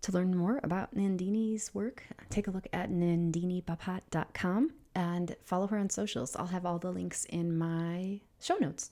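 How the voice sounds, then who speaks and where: Quiet and dark, mellow in tone, a woman speaks at a medium pitch and moderate pace with ordinary pitch variation. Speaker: podcast host. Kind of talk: podcast outro. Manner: quiet, subdued.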